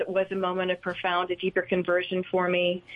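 A woman's unremarkable speaking voice at medium pitch, fairly quick pace. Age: 60s. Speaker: ministry leader. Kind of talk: studio interview.

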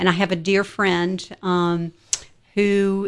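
At a fairly slow pace, a woman with a fairly low pitch speaks in a monotone, flat intonation. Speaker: radio station owner and founder. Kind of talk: pledge drive interview. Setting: studio.

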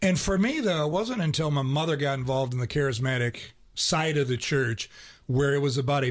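Against a quiet background, a somewhat breathy voice moves at a moderate pace with lively intonation. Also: man. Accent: American. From Ohio. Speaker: radio co-host. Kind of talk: casual radio conversation. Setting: radio studio.

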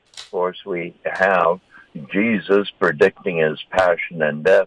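The delivery is very slow. The sound is dry and close with no echo. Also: man, big swings in loudness. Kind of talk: interview. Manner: halting, many fillers.

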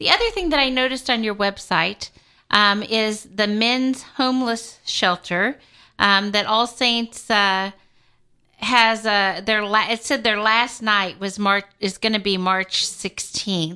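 A woman's fairly high, bright, sharp voice at a fairly slow pace, with ordinary pitch variation and a quiet background. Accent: American. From Kansas City, US Midwest. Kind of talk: pledge drive radio interview. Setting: radio studio. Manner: animated.

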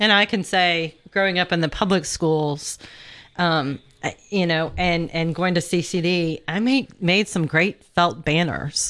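A woman talks in a normal speaking voice, fairly low in pitch. Her pace is fairly slow, with very even loudness and ordinary pitch variation. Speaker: radio host. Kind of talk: pledge drive radio talk. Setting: radio studio.

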